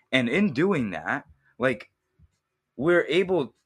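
Against a quiet background, a man with a bright, sharp tone and vocal fry speaks at a fairly slow pace while his pitch swings very widely. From US, Boston area (Egyptian family, immigrated at 3-4). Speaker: film director and editor. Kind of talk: casual interview chat. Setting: in person, Boston.

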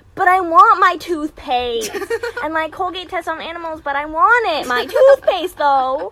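A woman's put-on character voice, extremely high-pitched, whiny and raised and projected, at a moderate pace. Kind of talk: casual, teenage. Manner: mean, whiny.

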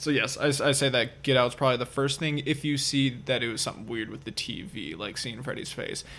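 Vocal fry runs through a man's bright, sharp voice at a medium pitch. He talks at a fairly quick pace. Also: ordinary pitch variation. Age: 20s. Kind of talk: casual chat.

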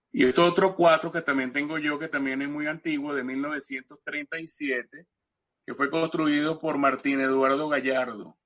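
The man talks at a fairly slow pace, his pitch fairly high. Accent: Caracas. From Venezuela, Caracas. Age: 60s. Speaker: cuatro musician and instrument historian. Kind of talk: interview, casual storytelling. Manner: halting, many repetitions and fillers.

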